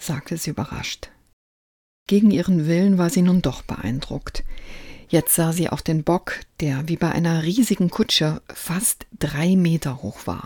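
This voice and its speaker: At a fairly slow pace, a woman speaks in a calm, gentle, dark and mellow tone that is somewhat breathy, with fairly low pitch and ordinary pitch variation. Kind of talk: bedtime story reading aloud. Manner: calm, gentle storyteller pacing with light character voices.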